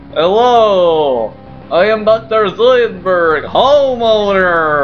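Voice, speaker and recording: Clear music plays in the background as a put-on character voice with fairly high pitch speaks at a very slow pace. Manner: funny, exaggerated.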